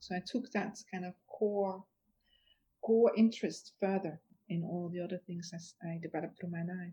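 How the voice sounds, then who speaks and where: A woman with a Dutch accent, somewhat breathy, dark and mellow in tone, with fairly even intonation and big swings in loudness. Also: medium pitch for a woman, moderate pace. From Netherlands. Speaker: author and futurist. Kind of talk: interview conversation.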